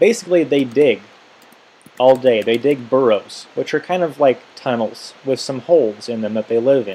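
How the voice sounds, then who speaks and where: A man with a normal speaking voice talks at a moderate pace, his medium pitch showing ordinary variation. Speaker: teacher. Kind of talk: tutorial.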